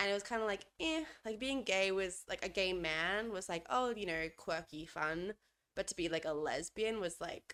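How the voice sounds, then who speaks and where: A woman with an Australian accent speaks at medium pitch and a moderate pace with lively intonation. The recording is very clean with a silent background. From Australia, Adelaide. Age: 20s. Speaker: podcast co-host. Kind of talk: casual chat.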